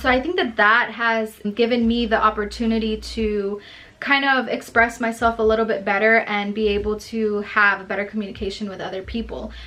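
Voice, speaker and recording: With a Spanish accent, a woman speaks fairly quickly in a fairly high voice, her intonation fairly even. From El Salvador. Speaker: education student and substitute teacher. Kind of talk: reflection video for homework. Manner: casual, conversational.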